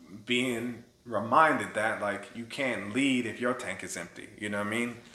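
Against audible room echo, a man with an American accent speaks at a medium pitch and a fairly slow pace. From Tallahassee, Florida (born US Virgin Islands). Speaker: theater artistic director. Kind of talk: interview conversation.

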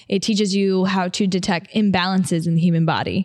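A woman in an American accent uses a normal speaking voice at medium pitch and a fairly quick pace. The background is quiet. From upstate New York. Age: 20s. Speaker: podcast host, personal trainer and model. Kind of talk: casual solo podcast talk. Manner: casual, filler-heavy.

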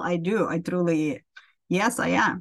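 This woman's voice comes across as somewhat breathy. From Ukraine. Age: 50s. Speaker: accountant. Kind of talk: interview. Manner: halting.

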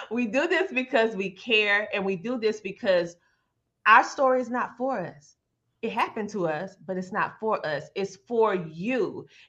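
A woman's animated, bright and sharp voice, fairly high in pitch, with lively intonation, an American accent and a fairly slow pace. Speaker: podcast host. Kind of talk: interview talk show.

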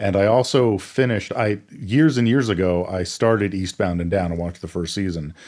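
A man with an ordinary speaking voice talks at a fairly low pitch. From Maine, US. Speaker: podcast co-host. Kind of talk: casual chat.

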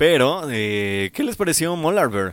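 A man speaking at a fairly slow pace, with music in the background. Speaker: metal radio show host. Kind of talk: casual chat. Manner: stumbling over words.

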